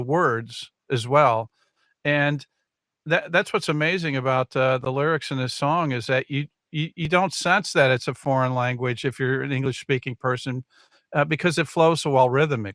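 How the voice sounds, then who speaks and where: An American accent marks this man's unremarkable speaking voice, fairly high in pitch with ordinary pitch variation at a moderate pace, on a very clean recording with a silent background and a dry, close sound with no echo. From Chicago. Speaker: show host. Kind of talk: interview. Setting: live stream.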